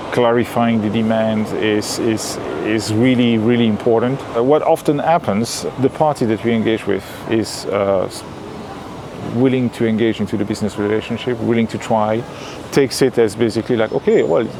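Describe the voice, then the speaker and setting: A man speaks at a moderate pace with a medium pitch and fairly even intonation. Noticeable background noise runs underneath. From Belgium. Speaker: contract manufacturing business owner. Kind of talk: interview answer.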